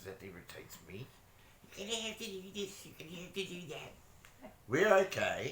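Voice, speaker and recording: The recording has audible room echo around a man's voice. He speaks at a moderate pace. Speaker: vlogger. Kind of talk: casual chat. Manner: quiet.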